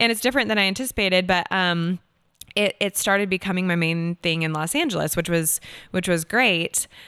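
A woman talks fairly quickly with an American accent and a bright, sharp tone. The sound is dry and close with no echo, on a very clean recording over a silent background. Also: medium pitch for a woman, ordinary pitch variation. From Seattle, Washington, US. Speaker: actor and singer-songwriter. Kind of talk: casual interview chat.

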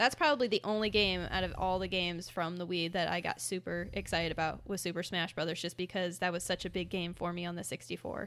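A woman with an American accent speaks at a very fast pace and fairly low pitch, with hardly any pauses. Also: fairly even intonation, very clean recording, silent background. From Fort Wayne, Indiana. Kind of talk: casual chat.

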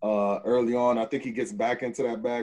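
A man with an American accent, medium-pitched and dark and mellow in tone, at a fairly quick pace with fairly even intonation. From Texas. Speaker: podcast co-host. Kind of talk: casual chat.

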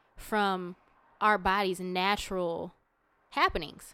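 A woman speaks at a fairly slow pace with a bright, sharp tone. The recording is very clean with a silent background. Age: 30s. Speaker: podcast co-host. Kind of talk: casual chat.

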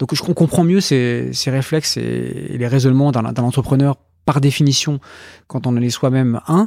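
Recorded dry and close with no echo, a man speaks in a dark, mellow tone at a medium pitch with ordinary pitch variation. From France, Brittany (Brest). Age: 40s. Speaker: investment fund founder. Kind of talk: interview.

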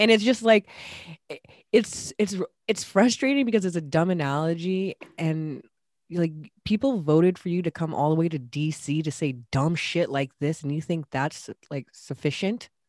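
An ordinary speaking voice from a woman, fairly low in pitch and lively in intonation, at a moderate pace with a dry, close sound and no echo. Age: 30s. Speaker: podcast co-host. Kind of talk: casual chat.

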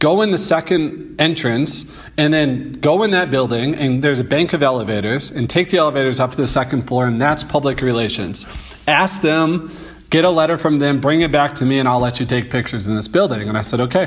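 A man with an American accent and a fairly high pitch talks at a fairly quick pace with ordinary pitch variation and very even loudness, over noticeable background noise. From St. Louis, Missouri. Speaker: photographer. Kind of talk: interview.

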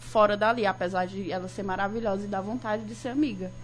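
A woman talks at a fairly quick pace and a medium pitch. Her voice shows vocal fry and ordinary pitch variation. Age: 20s. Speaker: journalism student and graphic designer. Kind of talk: casual radio talk show conversation.

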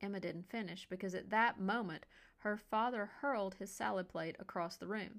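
Ordinary pitch variation in plain reading aloud

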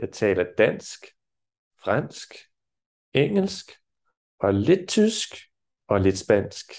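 A man speaks in a fairly high pitch with vocal fry and very wide pitch swings. His pace is very slow, with long, frequent pauses. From France. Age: 40s. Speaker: Danish teacher. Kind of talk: language lesson.

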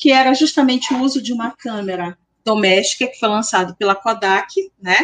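A woman speaks at a moderate pace in a fairly high pitch, with lively intonation and an ordinary speaking voice. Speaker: history professor and researcher. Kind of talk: interview.

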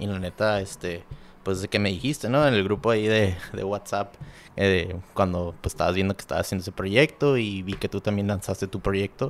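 With a normal speaking voice, a man talks at a moderate pace, his pitch fairly low and his intonation fairly even. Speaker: podcast host. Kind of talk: casual interview. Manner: casual, slangy.

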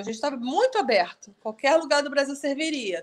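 With lively intonation and a high pitch, a woman speaks at a fairly quick pace. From Rio de Janeiro, Brazil. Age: 40s. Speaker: student moving to a rural smallholding. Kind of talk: casual interview.

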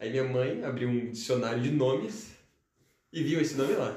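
With audible room echo, a man speaks in a somewhat breathy voice at a moderate pace with ordinary pitch variation. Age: young. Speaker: chemistry student. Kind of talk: casual interview.

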